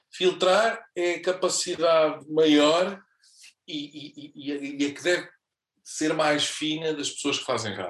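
Very slowly, a man speaks in a fairly high voice with ordinary pitch variation. His loudness swings widely. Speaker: radio presenter. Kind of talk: casual chat. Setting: studio.

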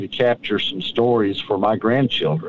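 A man with a Southern US accent, medium in pitch. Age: 60s. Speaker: tree farmer and author. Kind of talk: casual interview. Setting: in a truck on a tree farm.

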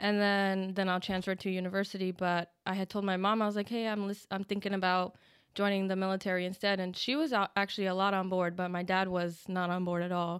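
A woman with an American accent talks at a very fast pace in a medium pitch, her intonation monotone and flat and her loudness very even. The recording is very clean, with a silent background. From New Jersey. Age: 20s. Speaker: Marine Corps veteran. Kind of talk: interview.

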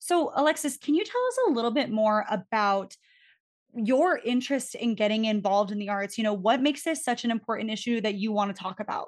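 An ordinary speaking voice from a woman, fairly high in pitch, with ordinary pitch variation, a fairly quick pace and a quiet background. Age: 20s. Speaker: podcast host. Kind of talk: podcast interview.

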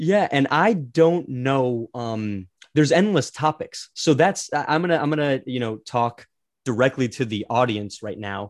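Over a quiet background, a man with an ordinary speaking voice talks at a fairly slow pace, his medium pitch carrying lively intonation. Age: 20s. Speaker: podcast co-host, assistant to a famous person. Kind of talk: casual chat. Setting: remote video recording.

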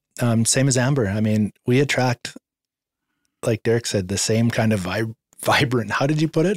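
In a dry, close sound with no echo, a man uses a plain, everyday voice at a medium pitch, keeping a moderate pace, ordinary pitch variation and very even loudness. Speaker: person in recovery from addiction. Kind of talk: testimony.

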